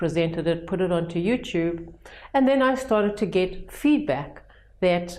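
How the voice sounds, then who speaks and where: With a strong South African accent, a woman talks at a moderate pace in a dark, mellow tone with lively intonation. Her pitch is fairly low, and the room echo is audible. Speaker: educator running personal development retreats. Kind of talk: vlog talk to camera. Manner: conversational with hesitations and restarts.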